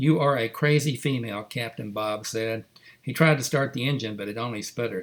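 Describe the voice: Ordinary pitch variation in plain reading aloud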